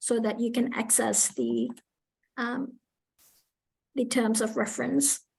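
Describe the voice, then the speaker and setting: A high-pitched woman's voice at a fairly slow pace. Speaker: community workshop facilitator. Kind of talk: online workshop presentation. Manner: hesitant, many fillers.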